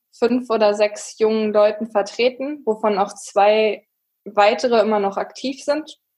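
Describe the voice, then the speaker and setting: A woman at a fairly high pitch and a very slow pace. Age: 30s. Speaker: wastewater engineer, association chair. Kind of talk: casual chat.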